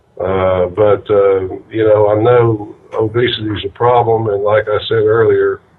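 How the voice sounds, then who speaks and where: Over noticeable background noise, a man with a fairly low pitch speaks in a monotone, flat intonation. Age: 60s. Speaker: political party leader. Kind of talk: political discussion on conference call. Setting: conference call. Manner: hesitant, many fillers.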